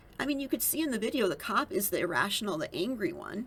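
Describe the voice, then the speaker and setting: Very wide pitch swings at a fairly quick pace, over noticeable background noise. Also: woman. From Minnesota. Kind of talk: casual political commentary to camera.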